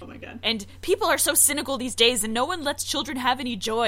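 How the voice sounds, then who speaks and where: Noticeable noise can be heard behind the voice. The speaker is a woman. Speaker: podcast host. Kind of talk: casual chat. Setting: remote recording.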